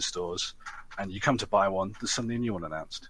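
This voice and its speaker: A man speaks with a British accent. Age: 20s. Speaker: podcast co-host. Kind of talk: casual chat.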